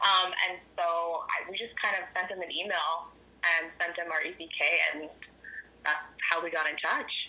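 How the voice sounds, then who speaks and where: A woman speaks slowly-ish at a fairly low pitch, in a flat monotone. Long pauses come often, and background noise is noticeable. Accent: Canadian. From Ottawa, Canada. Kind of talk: radio interview.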